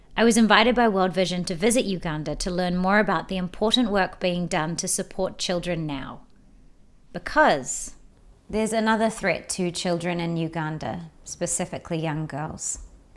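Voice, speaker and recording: At a moderate pace, a woman speaks with a New Zealand accent. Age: 30s. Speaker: actress and presenter. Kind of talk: documentary narration.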